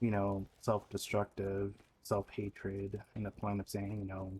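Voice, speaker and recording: Somewhat breathy and fairly low-pitched, a man talks with monotone, flat intonation. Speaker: streamer and video creator. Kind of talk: personal video journal monologue. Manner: halting, stuttering.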